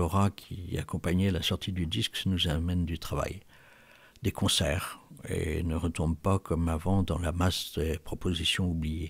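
At a moderate pace, a man with a very deep, low pitch talks with fairly even intonation. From Brittany, France. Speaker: jazz musician. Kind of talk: interview. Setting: remote audio interview.

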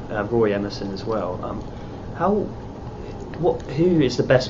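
Noticeable background noise behind a man of medium pitch. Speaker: journalist. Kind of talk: interview questions.

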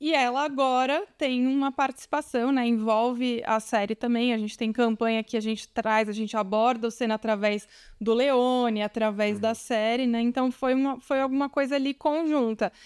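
A woman's high-pitched voice at a moderate pace, with fairly even intonation, very even loudness, hardly any pauses and a quiet background. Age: 40s. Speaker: marketing director; guest. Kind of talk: interview. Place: studio. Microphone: studio mic.

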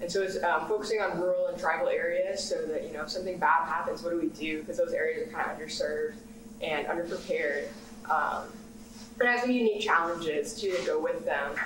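A woman speaks at a very fast pace with medium pitch and lively intonation. There is audible room echo and light background noise. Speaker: graduate student panelist. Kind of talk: panel discussion. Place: meeting room. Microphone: camera far.

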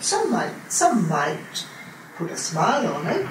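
A woman talks at a fairly slow pace and a fairly low pitch, with very wide pitch swings. Room echo is audible.

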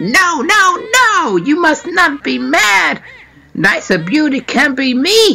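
This is a put-on character voice with a high pitch. It moves at a very slow pace with very wide pitch swings. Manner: vain, mocking.

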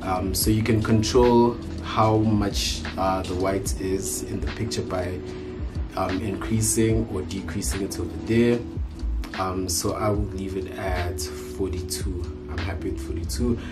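A man talks at a very slow pace while clear music plays behind him. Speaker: youtuber. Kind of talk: tutorial. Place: home room. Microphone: phone near.

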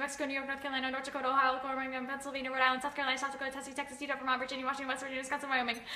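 A woman's raised, projected voice, high in pitch and very fast, with audible room echo. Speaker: college student. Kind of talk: speed-talking demonstration. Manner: extremely fast. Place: home room. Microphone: phone near.

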